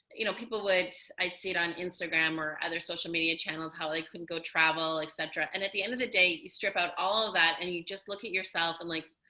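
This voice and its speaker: Very fast and bright, sharp in tone, a woman's voice keeps fairly even intonation. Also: fairly low pitch for a woman, hardly any pauses. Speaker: podcast host. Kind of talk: podcast interview.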